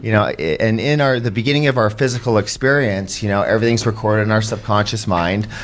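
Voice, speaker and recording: The speaker talks at a very fast pace with hardly any pauses, very even loudness and ordinary pitch variation. Noticeable background noise is present. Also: man, fairly low pitch for a man. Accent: Canadian. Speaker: podcast host. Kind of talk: casual chat. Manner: halting.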